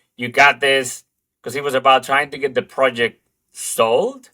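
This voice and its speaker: Dry and close with no echo, a man's voice has a bright, sharp tone and a Spanish accent. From Dominican Republic. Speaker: advertising creative director. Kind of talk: interview conversation. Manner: halting, many fillers.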